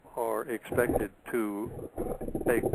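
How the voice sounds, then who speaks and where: A man talks in a monotone, flat delivery. Noticeable background noise sits behind him. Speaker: radio show host. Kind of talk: radio talk show commentary.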